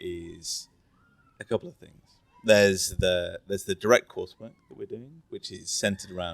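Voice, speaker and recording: A man with an English accent speaks at a moderate pace, his loudness swinging widely. The sound is dry and close, without echo. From England. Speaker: finance executive. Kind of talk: casual interview. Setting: resort during course week.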